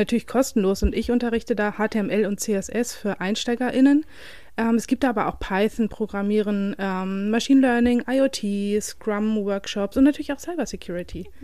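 Her tone dark and mellow, a woman speaks at a fairly high pitch and a moderate pace in a very clean recording with a silent background. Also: ordinary pitch variation. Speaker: podcast co-host. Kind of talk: casual chat. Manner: animated.

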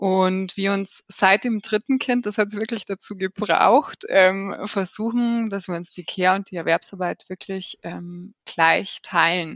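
An ordinary speaking voice runs with hardly any pauses and fairly even intonation, in a dry, close sound with no echo. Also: woman, medium pitch for a woman. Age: 30s. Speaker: working mother, process manager. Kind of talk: interview.

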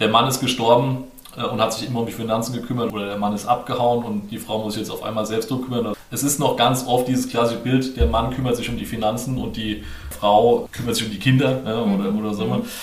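In a room with audible echo and noticeable background noise, a man speaks fairly quickly at a medium pitch in a flat monotone. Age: 30s. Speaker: finance course instructor. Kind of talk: interview.

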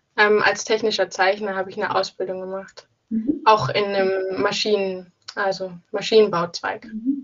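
In a normal speaking voice, a woman talks at a moderate pace and medium pitch, with ordinary pitch variation, big swings in loudness and hardly any pauses. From Saxony, near Leipzig. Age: 20s. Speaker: engineering student. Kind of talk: casual interview. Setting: phone call.

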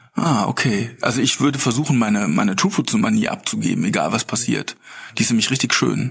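A man's speech comes at a fairly quick clip, with noticeable noise in the background. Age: 40s. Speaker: beverage company co-founder. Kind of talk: casual interview. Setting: podcast bus at a conference.

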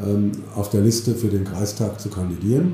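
Amid audible room echo, a man speaks fairly slowly with ordinary pitch variation. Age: 50s. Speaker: mayor. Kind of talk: interview.

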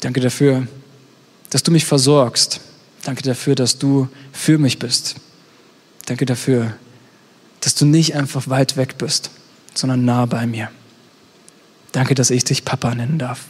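A man's monotone, flat delivery at a fairly slow pace, broken by long, frequent pauses. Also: medium pitch for a man. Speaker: youth pastor. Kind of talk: sermon; fervent prayer, spoken aloud to God as a father, intimate and heartfelt. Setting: online stream with live chat. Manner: earnest, gentle and pleading, warm, slower, with pauses.

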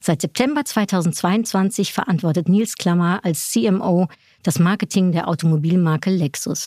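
A woman's dark, mellow, medium-pitched voice at a fairly slow pace, very even in loudness, on a very clean recording with a silent background. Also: ordinary pitch variation. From Netherlands. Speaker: podcast host. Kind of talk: interview.

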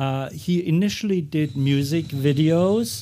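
On a very clean recording with a silent background, a man with a German accent talks at a very slow pace in a dark, mellow tone with ordinary pitch variation. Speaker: photographer. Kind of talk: talk at exhibition.

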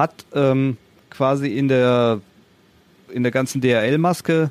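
The speaker is a man. He talks at a medium pitch.

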